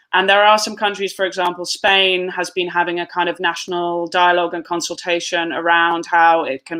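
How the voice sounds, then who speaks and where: Someone speaks at a moderate pace with a British accent. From United Kingdom. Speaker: tax justice advocate. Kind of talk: webinar panel discussion. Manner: halting.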